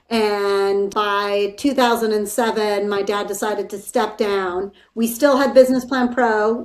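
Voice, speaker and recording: The speech moves at a fairly slow pace in monotone, flat intonation, on a very clean recording with a silent background. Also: woman. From California. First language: Spanish. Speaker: business executive. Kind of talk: interview.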